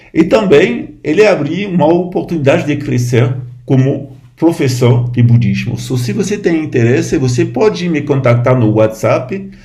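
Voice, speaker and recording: A man speaks at a fairly slow pace with lively intonation, and audible room echo surrounds his voice. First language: French (speaking Portuguese). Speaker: Buddhist lama. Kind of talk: informal talk to camera. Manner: halting.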